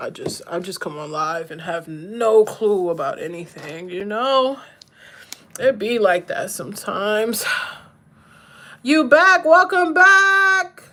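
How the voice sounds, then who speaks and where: An American accent at a very slow pace, with a bright, sharp tone, very wide pitch swings, big swings in loudness and long, frequent pauses. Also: woman, fairly high pitch for a woman. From Maryland, US. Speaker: livestreamer. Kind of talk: casual live-stream chat while doing makeup. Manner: animated.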